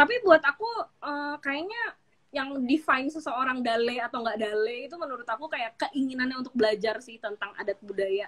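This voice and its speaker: A woman's high voice in a strong Jakarta accent, fairly quick, with ordinary pitch variation and big swings in loudness. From Jakarta, Indonesia. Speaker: business founder. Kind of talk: interview.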